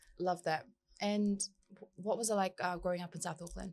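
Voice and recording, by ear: A woman speaks at a fairly low pitch with fairly even intonation. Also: moderate pace, slightly mellow tone.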